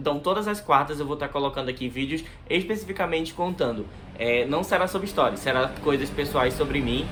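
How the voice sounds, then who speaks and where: Over noticeable background noise, a man with a Manaus accent speaks at a fairly quick pace with ordinary pitch variation. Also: fairly high pitch for a man. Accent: Manaus accent, strong hissing S. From Brazil, Manaus (Amazonas). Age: 20s. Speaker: YouTuber. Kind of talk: casual vlog talk to camera. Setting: bedroom near the street.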